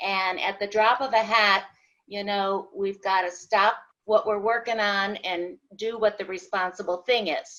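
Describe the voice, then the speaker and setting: A woman speaks at a fairly slow pace in a bright, sharp tone, her medium pitch held to fairly even intonation. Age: 70s. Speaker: audience member asking questions. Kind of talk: question in a live webinar.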